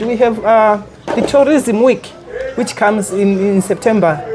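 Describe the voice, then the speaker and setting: Lively intonation and a moderate pace from a woman, with noticeable background noise. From Malawi, Karonga. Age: 70s. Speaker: lodge owner. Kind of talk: interview. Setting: on location at a lodge.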